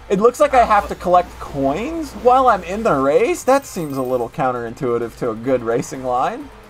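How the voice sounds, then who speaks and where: With music in the background, a speaker with an American accent talks at a moderate pace with hardly any pauses. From West Virginia. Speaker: gaming streamer. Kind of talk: casual chat. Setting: call with guest during live stream. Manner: animated.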